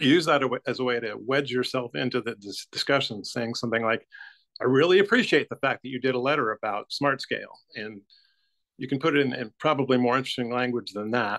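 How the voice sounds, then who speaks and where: A man with an American accent, talking at a very fast pace over a quiet background. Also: ordinary pitch variation. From Texas, Houston. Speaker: volunteer writing trainer; volunteer trainer. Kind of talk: training presentation. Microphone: video call.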